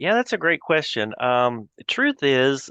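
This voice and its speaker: A slight Texas accent comes through at a fairly slow pace. The sound is dry and close with no echo, over a quiet background. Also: man. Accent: slight Texas twang. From Texas, Fort Worth. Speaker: accounting advisory leader. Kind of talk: interview.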